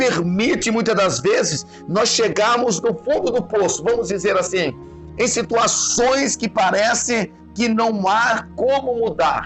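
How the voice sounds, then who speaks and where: A man's high-pitched voice at a very slow pace, with ordinary pitch variation and very even loudness, over music in the background. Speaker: pastor. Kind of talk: sermon preaching to a congregation.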